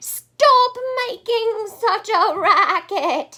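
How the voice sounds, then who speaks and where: A woman uses a put-on character voice. It sits extremely high in pitch, raised and projected. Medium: read story. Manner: dismissive, complacent.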